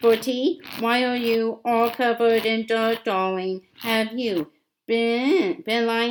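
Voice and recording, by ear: The voice is reading aloud in a natural voice. Intonation stays fairly even against a quiet background.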